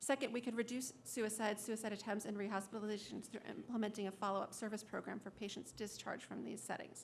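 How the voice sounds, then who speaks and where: The speech comes at a very fast pace. Intonation stays fairly even. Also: woman. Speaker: suicide prevention coalition director. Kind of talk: public testimony. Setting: public hearing.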